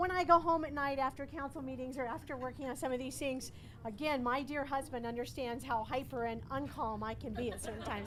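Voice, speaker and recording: Noticeable background noise sits behind a woman who talks fairly quickly in a high pitch with ordinary pitch variation. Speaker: city councilor. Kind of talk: ceremony speech. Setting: outdoor ribbon cutting, no microphone. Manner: raised voice.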